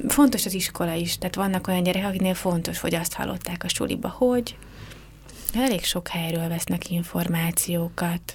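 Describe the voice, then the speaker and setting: Pitched fairly low, a woman speaks in a plain, everyday voice at a moderate pace with ordinary pitch variation. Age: 30s. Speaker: youth office director, social pedagogue. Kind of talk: radio interview.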